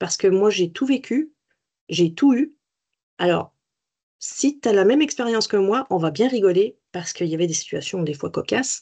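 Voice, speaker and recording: Using a dark, mellow tone and lively intonation, a woman speaks at a moderate pace and medium pitch with long, frequent pauses. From France. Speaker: cancer survivor and peer-support volunteer. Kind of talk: webinar interview. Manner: animated.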